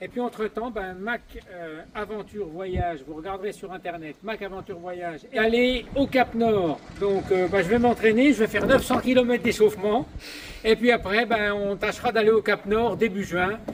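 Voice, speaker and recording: This man has a high pitch and ordinary pitch variation, speaking at a moderate pace with big swings in loudness over noticeable background noise. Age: 60s. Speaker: retired campsite owner, cyclist. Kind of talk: self-introduction video. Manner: halting, hesitant.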